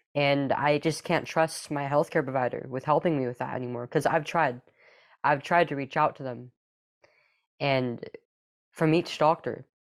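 A woman with an American accent speaks at a fairly slow pace in a very deep, low pitch with fairly even intonation, on a very clean recording with a silent background. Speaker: detransitioner and activist. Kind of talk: interview, personal story.

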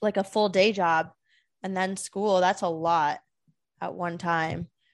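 The background is quiet. A woman speaks at a fairly slow pace in a medium pitch. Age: 20s. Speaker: podcast co-host. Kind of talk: casual chat.

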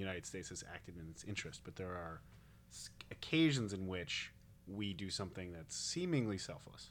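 A man with a fairly low pitch talks in a normal speaking voice, keeping a moderate pace. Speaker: podcast host. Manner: joking, self-deprecating.

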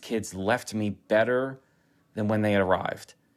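A man with a fairly low pitch and fairly even intonation speaks in an ordinary speaking voice on a very clean recording with a silent background. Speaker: running coach. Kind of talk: interview. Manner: motivational, encouraging.

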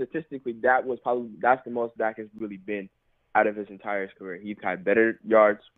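At a fairly quick pace, a man with an American accent talks in an unremarkable speaking voice at a medium pitch. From South Carolina. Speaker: caller. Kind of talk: call-in chat.

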